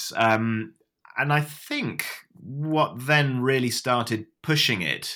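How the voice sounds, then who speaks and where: The recording is very clean and the background silent. In it, a man talks with a British accent. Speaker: former atheist sharing story. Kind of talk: interview storytelling. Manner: clear, articulate, hesitant with fillers.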